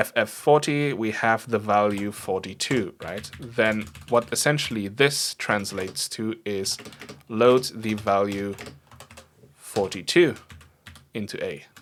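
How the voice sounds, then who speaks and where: Speaking with a non-native accent, a man talks at a very slow pace with long, frequent pauses, fairly low in pitch, over noticeable background noise. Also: ordinary pitch variation. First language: not English. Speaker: programming streamer. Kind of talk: live coding stream. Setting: livestream. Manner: casual, thinking aloud with fillers.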